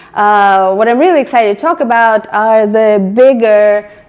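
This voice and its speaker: In a slight non-native accent, a woman speaks at a medium pitch with ordinary pitch variation. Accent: slight foreign. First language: not English. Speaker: product manager, meetup speaker. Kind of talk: presentation. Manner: hesitant, with filler words.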